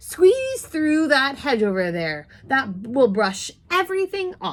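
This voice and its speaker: A woman's high, put-on character voice with very wide pitch swings, at a fairly slow pace. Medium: read story.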